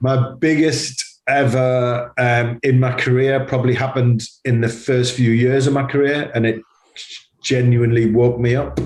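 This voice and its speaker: With a Geordie accent, a man speaks at a moderate pace in a monotone, flat delivery, his loudness very even and his voice somewhat breathy. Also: medium pitch for a man. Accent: Geordie (Newcastle). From northern England, Newcastle. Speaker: advertising agency CEO. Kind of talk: interview conversation. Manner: hesitant, many fillers and repetitions.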